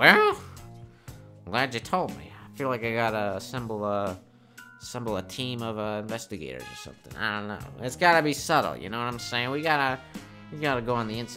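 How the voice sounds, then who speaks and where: Over clear background music, a man does a put-on character voice at medium pitch and a moderate pace. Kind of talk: parody hard-boiled detective voice-over. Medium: comedy sketch.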